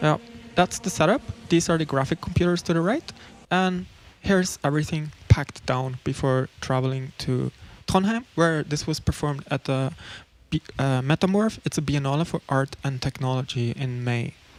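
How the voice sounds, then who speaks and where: Someone speaks at a moderate pace. The voice carries a Norwegian accent. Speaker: electronic musician. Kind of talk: livestream commentary on a slideshow. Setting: livestream with video call audience. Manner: casual, halting.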